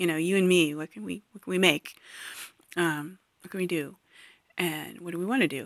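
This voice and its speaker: Long, frequent pauses break up the speech. Loudness swings widely while pitch varies in an ordinary way. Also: woman, fairly low pitch for a woman, fairly quick pace. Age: 40s. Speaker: podcast host. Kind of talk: solo monologue podcast. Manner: halting, many fillers.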